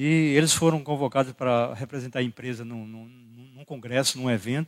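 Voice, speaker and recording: Silence sits behind the voice in this very clean recording. The sound is dry and close, without any echo. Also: man. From Brazil, Rio Grande do Norte (Caicó). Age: 60s. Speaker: pastor. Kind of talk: sermon. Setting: church.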